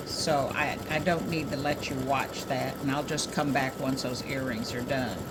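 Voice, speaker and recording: Audible room echo and noticeable background noise accompany speech delivered fairly slowly. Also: woman. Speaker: craft tutorial maker. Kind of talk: tutorial. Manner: casual, hesitant with fillers. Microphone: mic far from speaker, voice not picked up well.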